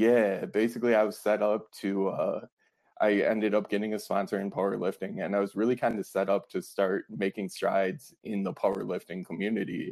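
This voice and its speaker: Speaking in a plain, everyday voice with an American accent, a man talks at a fairly low pitch and a fairly quick pace, with fairly even intonation, over a quiet background. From Wisconsin, Fond du Lac. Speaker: author, former police officer in recovery. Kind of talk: interview about personal story.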